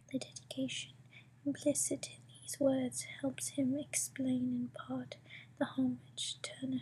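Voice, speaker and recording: The speaker is whispering and soft-spoken. The pace is fairly slow. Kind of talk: ASMR book reading. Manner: soft, whispered.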